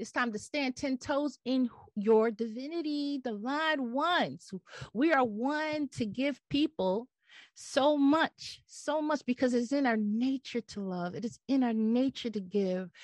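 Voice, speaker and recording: Against a quiet background, a woman with an American accent speaks at a high pitch and a fairly slow pace with lively intonation, in a dry, close sound with no echo. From US Northeast. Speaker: podcast host, spiritual motivational speaker. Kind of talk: inspirational monologue. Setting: home video podcast recording. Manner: animated, repetitive emphatic preaching style.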